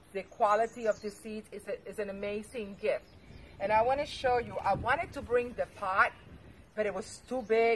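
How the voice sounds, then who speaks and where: Speaking at a moderate pace, a woman with a non-native accent has a fairly high pitch and fairly even intonation. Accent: foreign. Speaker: gardening vlogger. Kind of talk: tutorial. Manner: hesitant, many fillers.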